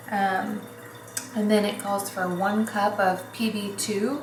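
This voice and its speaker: Audible room echo and noticeable background noise surround the voice. A woman speaks in a monotone, flat way. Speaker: vlogger and hairdresser. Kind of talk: casual vlog tutorial. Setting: at home, kitchen. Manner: casual with many fillers; whispering.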